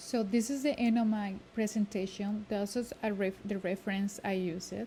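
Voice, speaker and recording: Somewhat breathy and dark, mellow in tone, a woman speaks at a medium pitch and a fairly slow pace with fairly even intonation. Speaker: student. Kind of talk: class presentation. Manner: halting, with fillers and self-corrections.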